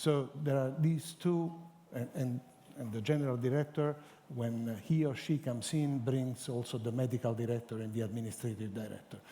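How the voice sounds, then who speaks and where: With an Italian accent, a man speaks at a moderate pace and medium pitch in a dark, mellow tone. His pitch varies in an ordinary way. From Italy. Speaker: cancer center scientific director. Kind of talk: panel discussion. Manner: halting.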